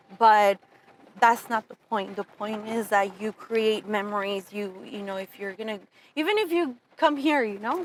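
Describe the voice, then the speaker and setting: With a Spanish accent, the speaker keeps a moderate pace and ordinary pitch variation in a dry, close sound with no echo. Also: woman, fairly high pitch for a woman, big swings in loudness. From Southern California (Pomona, Fontana), born in Mexico. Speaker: entrepreneur, insurance agency owner. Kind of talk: interview conversation.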